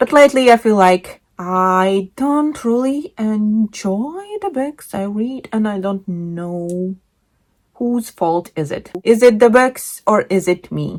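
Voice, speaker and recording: On a very clean recording with a silent background, a woman with a Latvian accent and a fairly high pitch speaks at a very slow pace with lively intonation. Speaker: book vlogger. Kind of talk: casual monologue.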